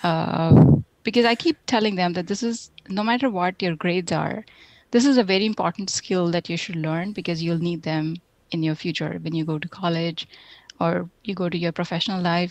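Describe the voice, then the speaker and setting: A woman with an Indian accent at a moderate pace, with ordinary pitch variation and a dry, close sound with no echo. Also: fairly low pitch for a woman. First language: Hindi. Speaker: software tech lead. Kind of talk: interview.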